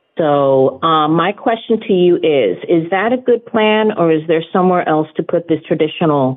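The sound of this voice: A woman speaks at a moderate pace with few pauses. Her pitch is low, with ordinary pitch variation.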